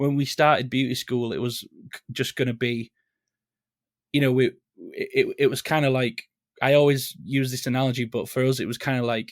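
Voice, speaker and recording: With a Leeds accent, a man talks at a medium pitch and a fairly quick pace in a monotone, flat intonation, broken by long, frequent pauses, and the sound is dry and close with no echo. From northern England, Leeds. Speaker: singer in a band. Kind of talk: casual interview chat.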